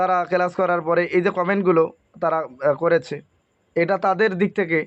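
High-pitched, a man talks with ordinary pitch variation. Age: 30s. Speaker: Islamic spiritual healing course teacher. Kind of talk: promotional talk to students. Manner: repetitive, conversational.

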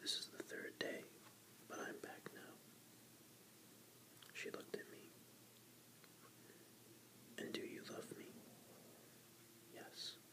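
Soft-spoken and whispering, the voice moves at a fairly slow pace with long, frequent pauses over noticeable background noise. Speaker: book reader. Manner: soft whispered book reading. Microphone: phone near.

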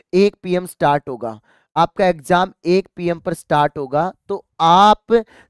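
A man talks in a high register with ordinary pitch variation. The sound is close and dry, without any echo. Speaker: teacher. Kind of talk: tutorial.

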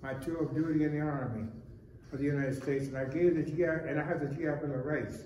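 With an American accent, a man talks at a very fast pace in a monotone, flat intonation, his pitch fairly high. There's light background noise and audible room echo. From US, Cleveland. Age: 90s. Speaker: architect and war veteran. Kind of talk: reading aloud. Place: office.

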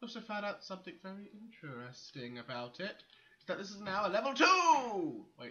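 At a moderate pace, a bright, sharp tone makes big pitch swings amid audible room echo. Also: man.

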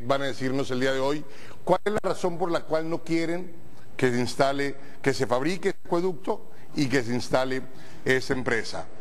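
A man speaks with ordinary pitch variation. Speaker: TV program host. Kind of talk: talk show opening commentary. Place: studio.

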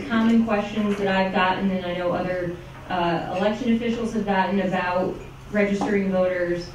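A woman at a moderate pace with fairly even intonation, audible room echo and noticeable background noise. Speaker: elections lawyer giving a talk. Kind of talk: lecture. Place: meeting room.

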